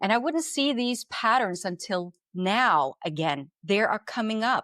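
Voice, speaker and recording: A woman's fairly high, bright, sharp voice at a fairly slow pace, very wide pitch swings over very even loudness, a dry, close sound with no echo and a very clean recording with a silent background. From Norway. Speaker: spiritual channeler. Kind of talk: podcast interview.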